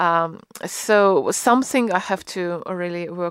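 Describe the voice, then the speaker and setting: Speech with a Russian accent comes through a very clean recording with a silent background. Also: woman. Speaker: concert pianist. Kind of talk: interview. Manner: halting.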